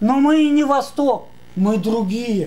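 Pitch varies in an ordinary way across a dark, mellow tone. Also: man. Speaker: philosophy lecturer. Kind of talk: conference talk. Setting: stage with audience. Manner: animated. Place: classroom.

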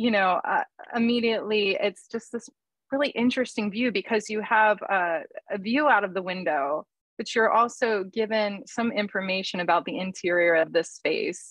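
At a moderate pace and with ordinary pitch variation, a woman speaks over a quiet background in a dry sound with no echo. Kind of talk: art critique commentary. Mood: warm, admiring.

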